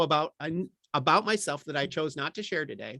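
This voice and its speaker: A man's fairly high voice at a fairly quick pace, with ordinary pitch variation, dry and close with no echo, on a very clean recording with a silent background. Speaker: workshop presenter on ethics and equity. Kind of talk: lecture. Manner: fast.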